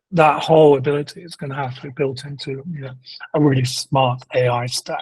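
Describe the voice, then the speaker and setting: A speaker with a British accent talks at a fairly quick pace. The delivery is monotone and flat, with a somewhat breathy quality. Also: man. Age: 60s. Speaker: procurement executive. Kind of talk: interview.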